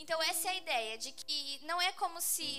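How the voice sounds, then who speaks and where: A woman's raised, projected voice at a moderate pace, with ordinary pitch variation and audible room echo. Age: 20s. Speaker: youth group Bible teacher. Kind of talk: sermon. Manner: casual, conversational.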